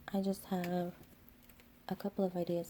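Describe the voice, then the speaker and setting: A woman whispers at a fairly quick pace. She is soft-spoken. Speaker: nail art youtuber. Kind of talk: tutorial. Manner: soft-spoken, near whisper.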